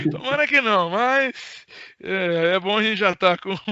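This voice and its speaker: The speaker goes at a fairly slow pace, with ordinary pitch variation. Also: man. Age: 30s. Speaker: radio journalist. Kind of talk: casual interview.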